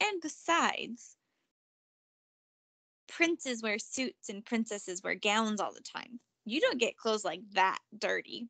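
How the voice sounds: A woman puts on a character voice, fairly high in pitch with a bright, sharp tone and vocal fry. She talks at a slow pace with lively intonation, in a dry, close sound with no echo.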